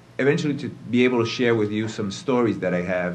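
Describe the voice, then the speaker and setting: There is audible room echo in this clip. The man speaks at a fairly low pitch. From Argentina. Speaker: lawyer, panelist. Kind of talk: panel self-introduction. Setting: conference panel with audience.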